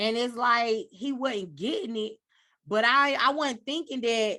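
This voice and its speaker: Against a quiet background, a woman speaks loudly at a moderate pace, her tone bright and sharp and her fairly high pitch showing ordinary variation. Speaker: podcast host. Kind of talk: casual chat.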